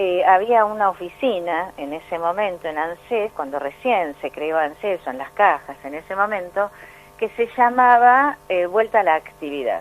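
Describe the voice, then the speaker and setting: In a plain, everyday voice, a woman speaks at a fairly slow pace with a medium pitch and lively intonation. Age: 60s. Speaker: pension and social security expert. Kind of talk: radio interview.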